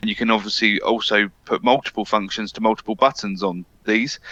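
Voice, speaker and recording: With a British accent, a man speaks at fairly low pitch in a bright, sharp tone, the sound dry and close with no echo. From UK. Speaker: AV integration specialist. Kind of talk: webinar discussion.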